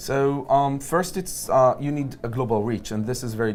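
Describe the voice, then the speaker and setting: A man speaks with an Israeli accent. The room echo is audible. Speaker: tech company executive. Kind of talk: interview at a conference. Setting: conference venue.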